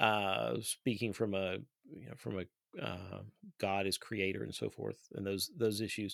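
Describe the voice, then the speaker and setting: Fairly low-pitched man in an Appalachian accent, with vocal fry, ordinary pitch variation and a fairly slow pace, on a very clean recording with a silent background and a dry, close sound free of echo. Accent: Appalachian Kentucky. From Eastern Kentucky. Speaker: podcast host. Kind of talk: interview conversation.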